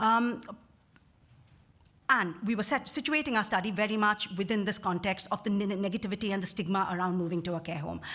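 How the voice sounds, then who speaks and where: Bright and sharp in tone, a woman at a medium pitch talks at a fairly quick pace with ordinary pitch variation. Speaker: researcher. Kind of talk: conference presentation. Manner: fast; halting.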